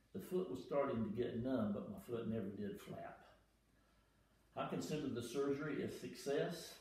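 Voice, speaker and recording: A man with an American accent speaks at a moderate pace. Audible room echo surrounds his voice. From United States. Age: 70s. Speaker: retired airline pilot. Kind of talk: patient testimonial read from notes. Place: home room. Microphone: camera far.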